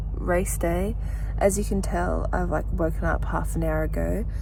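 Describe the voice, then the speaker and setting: Amid noticeable background noise and audible room echo, a woman with an Australian accent speaks at a fairly slow pace. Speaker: vlogger. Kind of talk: vlog narration.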